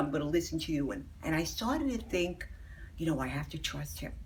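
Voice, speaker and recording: There is audible echo from the room. Her delivery, as a woman, is fairly brisk. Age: 70s. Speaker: patient. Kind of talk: testimony.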